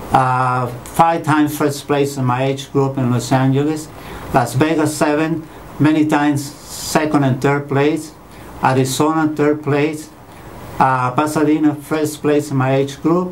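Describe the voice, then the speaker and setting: Against noticeable background noise and audible room echo, a man with a fairly high pitch talks at a fairly slow pace in a monotone, flat intonation. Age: 60s. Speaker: marathon runner, patient. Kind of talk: testimony.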